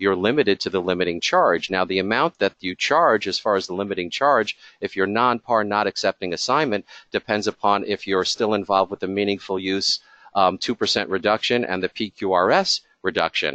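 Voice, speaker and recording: Over a quiet background, a man with a fairly low pitch and a bright, sharp tone talks at a fairly quick pace, the sound dry and close with no echo. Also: ordinary pitch variation. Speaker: chiropractor and compliance trainer. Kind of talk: webinar presentation. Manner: fast.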